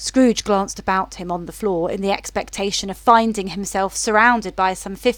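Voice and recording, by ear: The voice sounds natural. It is reading aloud.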